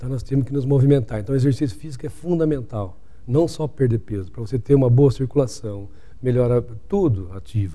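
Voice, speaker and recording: Somewhat breathy and dark, mellow in tone, a man speaks fairly quickly at a medium pitch with ordinary pitch variation. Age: 60s. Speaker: doctor. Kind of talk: interview.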